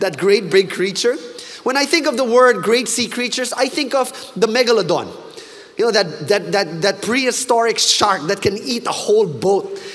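Someone talks in an animated tone at a moderate pace over noticeable background noise. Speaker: preacher. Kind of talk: sermon.

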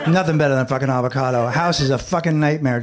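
A man speaks very fast with ordinary pitch variation while noticeable noise runs underneath. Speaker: stand-up comedian. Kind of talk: stand-up. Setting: stage with audience.

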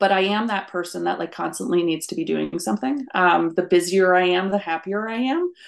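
A woman with an American accent has a normal speaking voice, a medium pitch, and ordinary pitch variation. She talks at a fairly quick pace over a quiet background. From rural US. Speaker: career coach. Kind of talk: interview.

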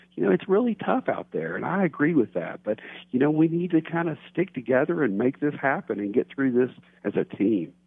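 A man with a Texan accent, fairly high pitch, very wide pitch swings and a fairly quick pace. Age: 50s. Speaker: financial advisor. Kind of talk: radio phone interview. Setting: phone call.

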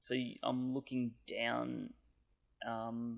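A man with an Australian accent is heard on a very clean recording with a silent background. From Australia (Canberra). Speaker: podcast listener sharing Japan travel experiences. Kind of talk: casual chat. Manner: halting, many fillers.

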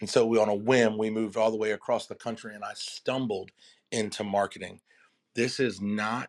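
The sound is dry and close with no echo, carrying a man's fairly low voice. He speaks at a moderate pace in a monotone, flat manner. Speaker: weekly segment speaker, former minister. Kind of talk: motivational talk with audience Q&A. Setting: live audio room online. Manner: confident.

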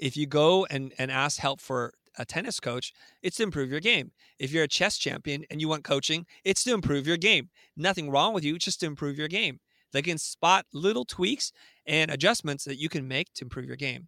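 A man with a fairly high pitch, a bright, sharp tone, and ordinary pitch variation speaks at a fairly quick pace. The sound is dry and close with no echo, and the recording is very clean over a silent background. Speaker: design agency founder and educator. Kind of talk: interview conversation.

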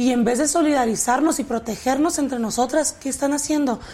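Her tone is dark and mellow. The woman keeps a moderate pace with ordinary pitch variation. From Mexico, Tijuana. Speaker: actress. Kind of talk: interview.

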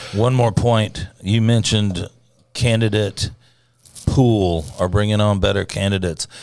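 The recording is very clean with a silent background, and a man speaks in an ordinary speaking voice with an American accent. His pitch is fairly low, his intonation fairly even, his loudness very even and his pace fairly slow. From US South. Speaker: political grassroots organizer. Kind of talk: casual political chat.

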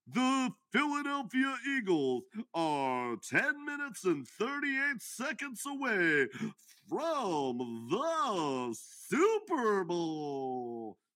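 A put-on character voice, fairly high in pitch, moves at a very slow pace. It makes very wide pitch swings. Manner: exaggerated, hyped.

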